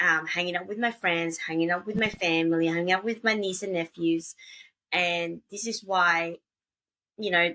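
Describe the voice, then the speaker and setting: A woman speaks with an Australian accent in a bright, sharp tone. Her pitch is fairly low, her pace moderate and her intonation fairly even. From Australia, Gold Coast. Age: late 30s. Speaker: traveler and podcaster. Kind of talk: casual interview chat.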